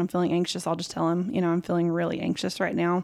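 Speaking with a West Texas accent, a woman has a dark, mellow tone at a medium pitch and fairly even intonation, on a very clean recording with a silent background. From West Texas, Lubbock. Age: 30s. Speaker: home health therapist. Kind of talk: testimony.

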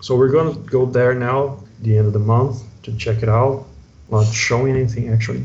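A man with a Portuguese accent talks in a fairly even intonation, with audible echo from the room. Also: medium pitch for a man, moderate pace. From Brazil, São Paulo area. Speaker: comic book artist. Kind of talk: casual interview.

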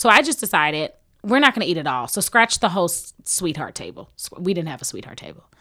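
A woman with a Texas accent, fairly low in pitch, with a bright, sharp tone, very wide pitch swings and a very fast pace, on a very clean recording with a silent background. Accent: Southern US (Texas). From Houston, Texas. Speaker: recently married bride, reality TV participant. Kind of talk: casual chat.

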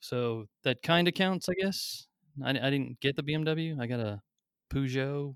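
In a dry, close recording with no echo, a man with a normal speaking voice talks fairly slowly at a fairly high pitch, his pitch varying in an ordinary way. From military family, moved around (Maine, Germany, California). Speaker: attorney. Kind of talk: podcast interview.

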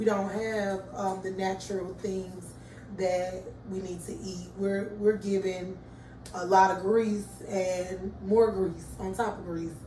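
With an American accent, a woman of medium pitch speaks at a fairly slow pace in a monotone, flat intonation, with audible room echo and noticeable background noise. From Atlanta, Georgia (US South). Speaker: coffee shop owner. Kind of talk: casual interview. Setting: coffee shop.

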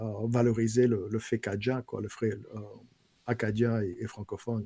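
In a dark, mellow tone, a man speaks at a moderate pace and medium pitch with monotone, flat intonation. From Louisiana, Bayou Lafourche (Golden Meadow). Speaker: writer and former head of a French-language council. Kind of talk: casual interview.

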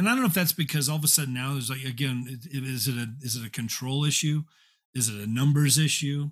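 Very clean with a silent background, the recording captures a man speaking very fast in a somewhat breathy, medium-pitched voice with ordinary pitch variation. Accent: American. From Indiana, US Midwest. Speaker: former church staff leader, now in real estate. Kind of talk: casual interview conversation.

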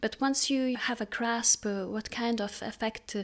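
A woman with a Lithuanian accent speaks in a fairly high pitch with fairly even intonation. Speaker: composer. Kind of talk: interview. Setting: video call. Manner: halting, many fillers.

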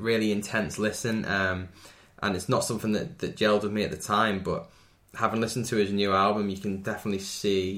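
In a Merseyside accent, a man talks at a fairly quick pace. His pitch sits fairly low, with fairly even intonation. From Wirral, Merseyside, England. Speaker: electronic musician. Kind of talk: casual chat.

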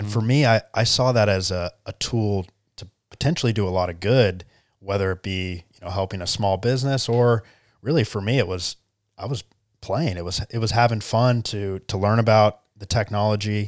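A man's unremarkable speaking voice, fairly low in pitch with ordinary pitch variation and a moderate pace, dry and close with no echo, in a very clean recording over a silent background. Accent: American. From US South, Charleston, South Carolina. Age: 20s. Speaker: tech entrepreneur. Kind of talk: interview. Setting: studio.

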